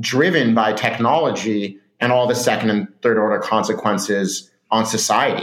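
A man with a Californian accent, at a moderate pace, with ordinary pitch variation. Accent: Californian American. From Southern California. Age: 30s. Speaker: startup founder and CEO. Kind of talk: interview.

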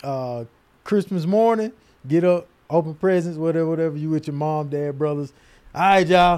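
The man has a plain, everyday voice and an American accent. He speaks at a moderate pace with a fairly high pitch and ordinary pitch variation. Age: 30s. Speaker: podcast co-host. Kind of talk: casual chat.

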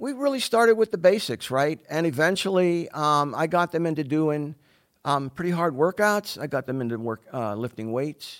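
Recorded very cleanly with a silent background and a dry, close sound with no echo, a man with an American accent speaks in a plain, everyday voice at a moderate pace, his pitch fairly high and his intonation lively. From Pittsburgh, Pennsylvania. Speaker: fitness coach. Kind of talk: interview conversation.

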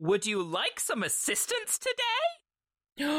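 A put-on character voice, extremely high in pitch and very slow in pace. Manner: bouncy, cheerful.

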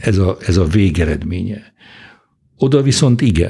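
Very slowly, a man speaks in a dark, mellow, somewhat breathy tone with ordinary pitch variation. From Hungary. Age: 70s. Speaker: economist and Oxford professor. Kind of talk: interview. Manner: halting.

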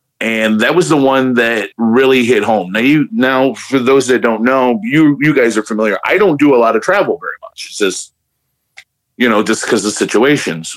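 A man at medium pitch with an American accent, moderate pace, and ordinary pitch variation. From Chicago area, Hammond. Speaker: beard club member. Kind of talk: casual chat.

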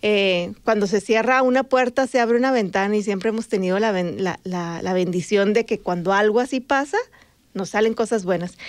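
A woman with a northern Mexican accent at a moderate pace. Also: medium pitch for a woman, ordinary pitch variation. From Sonora, Mexico (Magdalena, near Nogales border). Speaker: podcast co-host and journalist. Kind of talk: casual chat. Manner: animated.

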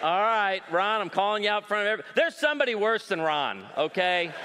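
Over noticeable background noise, a man with a high pitch uses a raised, projected voice, animated and playful in tone, at a moderate pace. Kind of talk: stand-up-style comedy in a sermon, with jokes and crowd work. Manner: animated, playful, self-deprecating storyteller with punchlines and audience banter.

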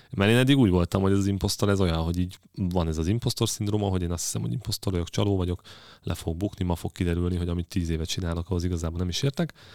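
A man talks at a very fast pace with a very deep, low pitch and ordinary pitch variation. The recording is very clean, with a silent background. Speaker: podcast host on engineering leadership. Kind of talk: casual chat. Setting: studio.

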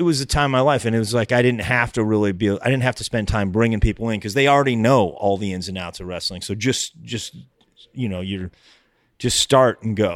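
On a very clean recording with a silent background, a man with a plain, everyday voice and an American accent talks at a fairly quick pace, with a medium pitch and ordinary pitch variation. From US suburbs. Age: 50s. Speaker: comedian. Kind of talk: casual chat.

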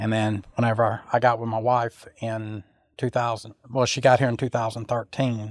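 A man speaks with a Louisiana accent at a medium pitch. His intonation is monotone and flat, and the sound is dry and close with no echo. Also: moderate pace. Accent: Southern US (Louisiana). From US South, Louisiana (Sulphur). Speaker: truck driver. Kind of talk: interview.

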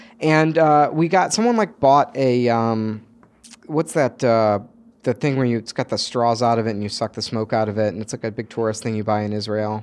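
In an ordinary speaking voice, this man talks at a moderate speed. His pitch sits in the middle range and varies in an ordinary way. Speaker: game co-creator. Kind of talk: casual interview chat.

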